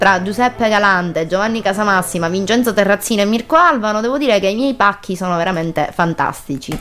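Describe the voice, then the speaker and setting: A woman with a Sicilian accent speaks at a very fast pace with hardly any pauses. Her pitch is medium, with music in the background. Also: ordinary pitch variation. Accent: Sicilian, open-mouthed pronunciation. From Sicily. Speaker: radio host. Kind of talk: casual chat.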